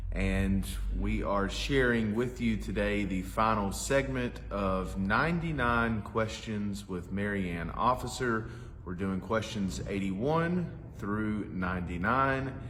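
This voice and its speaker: At a very slow pace, a man talks with a fairly low pitch and very wide pitch swings. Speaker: town cultural administrator. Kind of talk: interview questions.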